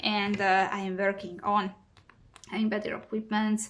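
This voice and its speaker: A woman with a central European accent, medium pitch and a bright, sharp tone, at a moderate pace. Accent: non-native central European English. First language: neither English nor German. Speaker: cross-stitch hobby vlogger. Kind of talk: casual craft vlog monologue. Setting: home recording. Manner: halting, many fillers.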